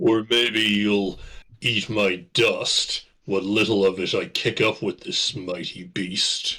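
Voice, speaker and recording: In a put-on character voice, a man speaks at a fairly slow pace with a medium pitch. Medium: actual play. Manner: polite, slightly formal.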